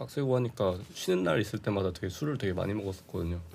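In a very clean recording with a silent background, a man with a fairly low pitch uses lively intonation in an ordinary speaking voice. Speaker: podcast host. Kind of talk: casual interview chat. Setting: studio.

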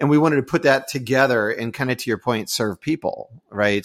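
At a fairly quick pace, a man with a normal speaking voice and ordinary pitch variation is heard on a very clean recording with a silent background. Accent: American. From Houston, Texas. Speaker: podcast co-host. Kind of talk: casual interview chat.

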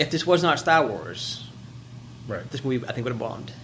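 A man's fairly even intonation carries through audible room echo. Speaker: podcast co-host. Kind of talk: casual chat.

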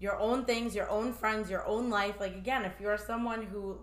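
A woman's voice carries fairly even intonation amid audible room echo. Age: 30s. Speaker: mental health professional. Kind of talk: casual chat.

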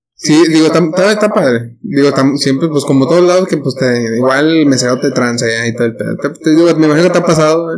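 Over noticeable background noise, a man with a fairly high voice and a Mexican accent talks very fast with hardly any pauses and ordinary pitch variation. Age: 20s. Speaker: podcast co-host. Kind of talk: casual chat.

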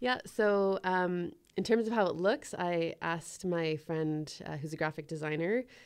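With a Canadian accent and an unremarkable speaking voice, the speaker goes at a fairly slow pace with ordinary pitch variation over a quiet background. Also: woman, fairly low pitch for a woman. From Ottawa, Canada. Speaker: singer-songwriter. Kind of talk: interview.

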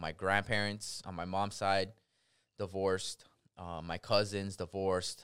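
Very deep and low in pitch, a man speaks with an American accent in a monotone, flat intonation. The recording is very clean, with a silent background. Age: 20s. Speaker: repo man. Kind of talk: casual chat.

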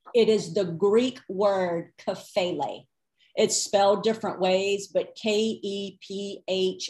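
At a very slow pace, a woman speaks with a medium pitch and a dark, mellow tone. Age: 40s. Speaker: Bible teacher. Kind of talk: teaching interview. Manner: animated.

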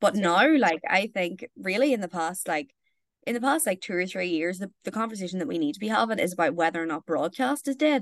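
A woman with a Northern Irish accent talks very fast at a medium pitch, her intonation lively, in a dry, close sound with no echo. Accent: Northern Irish (Tyrone). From Northern Ireland, County Tyrone. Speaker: journalist. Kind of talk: casual chat.

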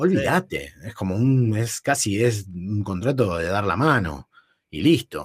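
A man with a fairly low, somewhat breathy voice speaks at a fairly slow pace with very wide pitch swings, in a dry, close sound with no echo. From Buenos Aires northern suburbs, Argentina. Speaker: podcast co-host. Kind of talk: casual chat.

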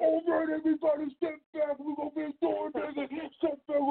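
A high-pitched, put-on character voice speaks at a moderate pace. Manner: commanding, hyped.

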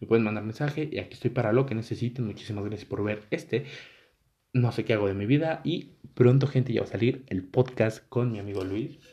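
A man with a Mexican accent, medium-pitched and somewhat breathy, with a dark, mellow tone, ordinary pitch variation and a fairly quick pace. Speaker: YouTuber. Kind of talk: casual vlog monologue. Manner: casual, rambling filler-heavy.

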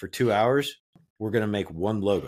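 At a moderate pace, a man speaks in a fairly low voice with an American accent. It is a plain, everyday voice on a very clean recording with a silent background. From Kansas. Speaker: podcast cohost. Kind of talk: casual chat.

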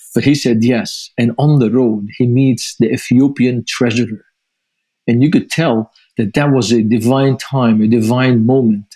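With a Lebanese accent, a man speaks in a dark, mellow tone at a fairly slow pace, his loudness very even and his intonation fairly even. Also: medium pitch for a man. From Lebanon. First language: Arabic. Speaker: ministry founder and author. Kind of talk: interview.

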